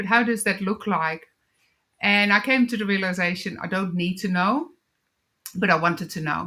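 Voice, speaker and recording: In a Dutch accent, a woman with a bright, sharp tone and a medium pitch talks at a moderate pace with ordinary pitch variation and long, frequent pauses, on a very clean recording with a silent background. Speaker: wellness coach and author. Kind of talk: interview testimony.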